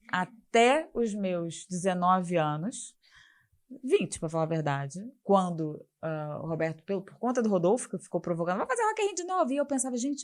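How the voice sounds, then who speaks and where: A woman speaks in an ordinary speaking voice at a medium pitch. Her intonation is lively, her pace is moderate, and her loudness swings widely. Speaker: festival executive. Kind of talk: interview.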